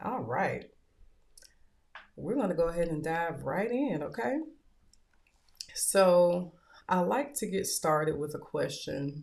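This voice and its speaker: Speaking at a very slow pace with long, frequent pauses, a woman with a Southern US accent uses a fairly low voice with very wide pitch swings. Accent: Southern US twang. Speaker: podcast host and author. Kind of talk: motivational talk show monologue.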